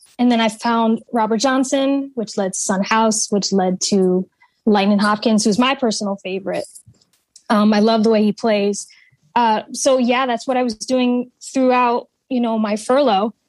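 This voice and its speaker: At a moderate pace, a woman with an ordinary speaking voice talks in a fairly high pitch with fairly even intonation. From Connecticut. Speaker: artist and musician. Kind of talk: interview. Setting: video call.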